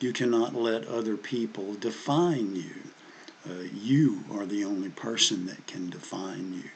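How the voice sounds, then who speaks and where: A man's fairly low voice with a Southern US accent, a fairly slow pace, ordinary pitch variation and audible room echo. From US South. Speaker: history commentator. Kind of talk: casual monologue. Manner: halting, many fillers and repeats.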